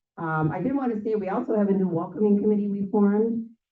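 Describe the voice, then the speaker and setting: A woman talks at a very fast pace with lively intonation, and the room echo is audible. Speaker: local political club organizer. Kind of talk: club meeting announcements. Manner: filler-heavy, casual.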